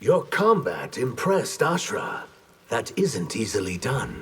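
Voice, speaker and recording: The speaker uses a put-on character voice. The pace is fairly slow. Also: man. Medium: video game. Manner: terse, guarded.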